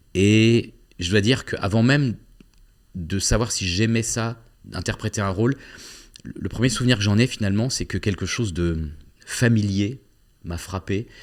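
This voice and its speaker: A man with a fairly low pitch and ordinary pitch variation, with long, frequent pauses, on a very clean recording with a silent background. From southwest France (Agen). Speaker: actor and playwright. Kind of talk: interview. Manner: hesitant, many fillers and repetitions.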